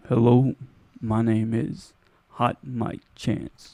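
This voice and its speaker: A man uses a put-on character voice at a medium pitch. He speaks at a very slow pace. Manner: spooky.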